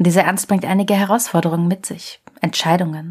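Somewhat breathy, a woman speaks at a fairly low pitch with monotone, flat intonation. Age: 30s. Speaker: podcast host and journalist. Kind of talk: scripted narration.

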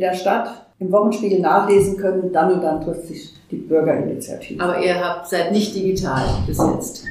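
The medium-pitched voice belongs to a woman. Audible room echo and noticeable background noise come through. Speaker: community organizer. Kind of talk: interview.

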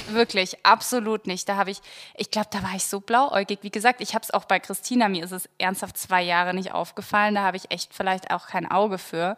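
A woman with an unremarkable speaking voice talks fairly quickly at a medium pitch with fairly even intonation, the sound dry and close with no echo on a very clean recording with a silent background. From Germany, Munich. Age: 20s. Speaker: lifestyle blogger, podcast co-host. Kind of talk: casual chat.

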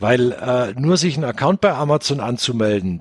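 In a dry, close sound with no echo, a man with a medium pitch and a somewhat breathy voice speaks at a moderate pace with lively intonation. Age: 40s. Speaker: software company founder. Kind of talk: interview. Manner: many filler sounds (äh).

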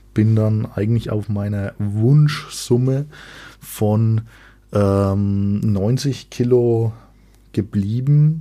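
A man with a dark, mellow tone and fairly low pitch speaks at a very slow pace, his intonation fairly even and his pauses long and frequent. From Franconia, Germany. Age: 20s. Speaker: fitness podcast host. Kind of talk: solo podcast monologue. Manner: casual with frequent filler sounds.

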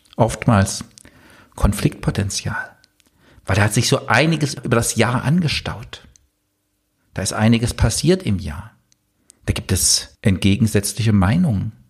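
This man's voice is somewhat breathy, with very wide pitch swings. He speaks at a moderate pace. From eastern Germany. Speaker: business coach and podcast host. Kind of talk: solo podcast monologue.

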